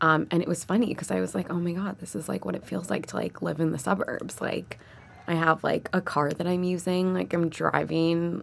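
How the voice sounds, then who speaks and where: Music plays in the background as someone talks at a fairly quick pace. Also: woman, fairly low pitch for a woman, ordinary pitch variation. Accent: American. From New York City, Manhattan. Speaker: MBA student. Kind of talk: casual chat.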